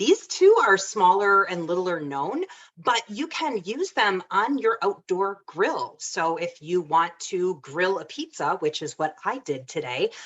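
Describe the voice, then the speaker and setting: With a Michigan accent, a woman talks at a fairly slow pace in a medium pitch, her intonation lively and hardly any pauses between words. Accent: Michigan accent, nasal. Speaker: home cook presenting a recipe. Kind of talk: casual demonstration talk.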